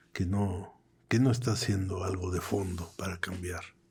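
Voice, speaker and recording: A man speaks with a Mexican accent at a fairly low pitch. His voice is somewhat breathy. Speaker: political cartoonist. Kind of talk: interview conversation. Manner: halting, repeats words.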